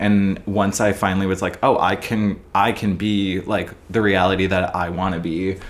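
A man's fairly low voice with an American accent. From US Midwest, Minneapolis, Minnesota. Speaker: comedic video creator and actor; comedic video creator, actor. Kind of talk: casual chat. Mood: reflective, earnest. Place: office.

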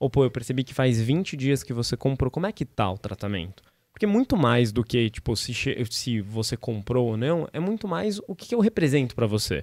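Over a quiet background, a man talks at a moderate pace with very wide pitch swings and a dry sound with no echo. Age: 30s. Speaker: startup founder and CEO; guest. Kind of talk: podcast interview; interview answer. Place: studio. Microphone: studio mic.

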